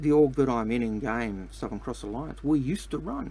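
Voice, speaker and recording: At a moderate pace, a man speaks with an Australian accent. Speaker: game streamer. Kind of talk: live gameplay commentary. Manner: hesitant, many fillers.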